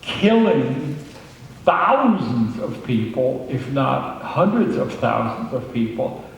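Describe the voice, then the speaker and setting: Through noticeable background noise and audible room echo, a man with a medium pitch speaks at a very slow pace with ordinary pitch variation. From Germany. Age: 80s+. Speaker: Holocaust survivor speaker. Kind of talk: public talk. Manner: hesitant with frequent fillers.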